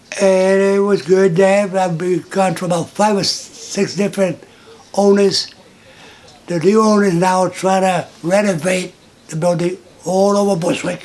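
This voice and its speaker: A man's high voice, monotone and flat, at a fairly slow pace over noticeable background noise. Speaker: long-time resident. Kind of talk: interview.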